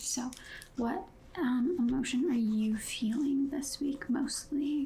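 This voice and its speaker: A woman talks softly and at a fairly slow pace. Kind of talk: ASMR therapist roleplay, personal attention. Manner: soft-spoken.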